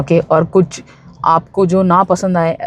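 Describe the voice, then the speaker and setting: A woman speaks with a Bombay accent in a dry, close sound with no echo. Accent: Bombay street Hindi, self-described. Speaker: spiritual self-help YouTuber. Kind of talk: motivational talk. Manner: casual, with fillers.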